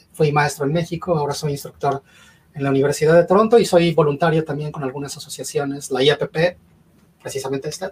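Talking at a very fast pace, a man has a fairly high pitch and a somewhat breathy sound. His intonation stays fairly even. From Mexico. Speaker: cybersecurity consultant. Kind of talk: panel discussion.

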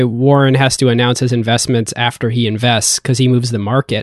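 Against a quiet background, a man talks in a plain, everyday voice. His pitch is medium and his pace fairly quick. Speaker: podcast co-host, venture investor. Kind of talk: casual interview chat.

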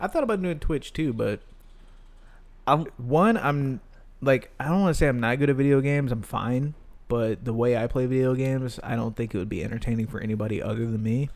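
Delivered at a fairly quick pace, a normal speaking voice shows ordinary pitch variation. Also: man, medium pitch for a man. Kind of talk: casual banter. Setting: in person.

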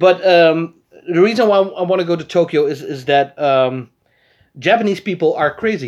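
Speaking with a Dutch accent, a man keeps a moderate pace and a high pitch with ordinary pitch variation. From Netherlands, Arnhem area. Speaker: podcast host. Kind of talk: casual chat.

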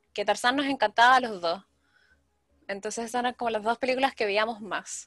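Music plays in the background as a woman with a Chilean accent speaks at a moderate pace in a fairly high pitch with ordinary pitch variation, the sound dry and close with no echo. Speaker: podcaster. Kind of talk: casual chat.

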